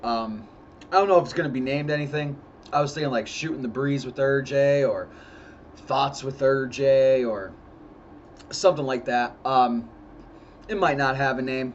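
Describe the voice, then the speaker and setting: In an American accent, a man talks at a moderate pace with medium pitch and fairly even intonation. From US Northeast, northeast Pennsylvania. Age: 30s. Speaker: YouTuber. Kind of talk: casual vlog monologue. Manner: many fillers (uh, um).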